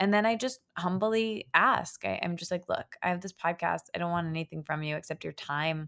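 In an ordinary speaking voice with an American accent, a woman talks at a fairly low pitch and moderate pace with ordinary pitch variation and hardly any pauses, the sound dry and close with no echo. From US Midwest (Michigan). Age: 20s. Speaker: writer and podcast host. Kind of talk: casual interview chat.

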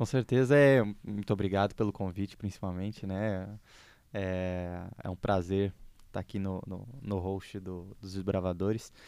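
The recording is very clean with a silent background, carrying a man's fairly low voice with a dark, mellow tone. He speaks fairly slowly with fairly even intonation and big swings in loudness. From southern Brazil, Porto Alegre. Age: 20s. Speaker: podcast host, economics student. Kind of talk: casual chat.

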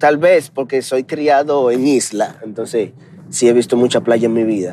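A man is speaking. His pace is moderate. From Dominican Republic. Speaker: podcaster. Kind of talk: casual monologue. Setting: in a car.

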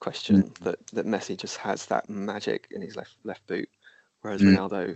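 The man speaks at a moderate pace. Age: 30s. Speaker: podcast host. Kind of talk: casual chat.

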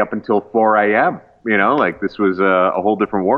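A man with a Canadian accent and a fairly low pitch, at a moderate pace, amid noticeable background noise. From rural Canada. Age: 30s. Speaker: pastor and comedian. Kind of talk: casual chat.

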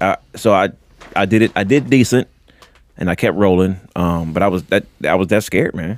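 At a very deep, low pitch, a man talks at a moderate pace with ordinary pitch variation, in a dry, close sound with no echo. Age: 40s. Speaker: comedian. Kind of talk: casual chat. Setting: studio.

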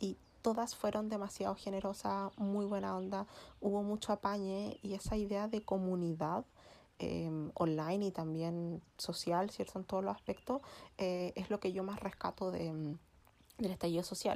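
Speaking at a moderate pace with fairly even intonation, a woman has a medium pitch and a dark, mellow tone on a very clean recording with a silent background. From Chile. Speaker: feminist podcast host. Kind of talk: casual chat.

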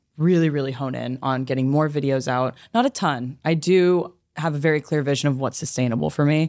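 Heard in a very clean recording with a silent background, a woman with a Californian accent speaks at a very deep, low pitch with ordinary pitch variation. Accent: Californian American English. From Los Angeles, US. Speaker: YouTuber and former management consultant. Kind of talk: casual interview.

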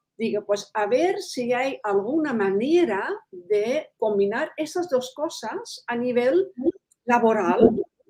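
A woman speaks at a very slow pace in a high voice with very wide pitch swings and a dark, mellow tone. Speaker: animal aromatherapist. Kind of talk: interview.

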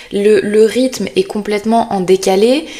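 Over noticeable background noise, a woman talks at a fairly slow pace in a fairly high voice with fairly even intonation. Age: 20s. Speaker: podcast host, content creator. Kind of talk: casual solo monologue. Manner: hesitant, with many fillers and repetitions.

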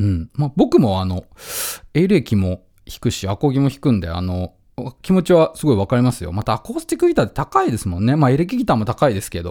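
Speaking very fast at a medium pitch, a man uses a dark, mellow tone with very wide pitch swings and big swings in loudness, in a very clean, dry, close recording with a silent background and no echo. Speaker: radio host and musician. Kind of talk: casual radio monologue. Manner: relaxed, with frequent laughter.

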